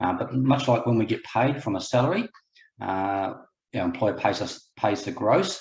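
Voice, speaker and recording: This man has a New Zealand accent and a medium pitch, speaking at a moderate pace. His voice is somewhat breathy, with lively intonation. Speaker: buyer's agent, property investor. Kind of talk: webinar presentation. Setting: online webinar, video call.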